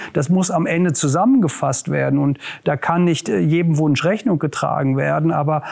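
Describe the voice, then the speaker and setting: A man with a fairly high pitch, a normal speaking voice, and a moderate pace. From Ruhr area, Westphalia (Germany). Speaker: regional government official, former mayor. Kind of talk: interview.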